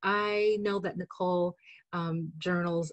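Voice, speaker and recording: This woman's voice is fairly low in pitch and somewhat breathy, with ordinary pitch variation. The sound is dry and close, with no echo. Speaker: caregiver educator. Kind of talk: webinar conversation. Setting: webinar.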